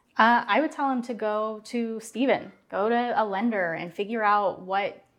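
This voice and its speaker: The speaker has an unremarkable speaking voice with an American accent and talks at a fairly slow pace. The background is quiet. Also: woman. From Portland area, Oregon. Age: 30s. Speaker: marketing staff, first-time homebuyer. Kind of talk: casual interview chat.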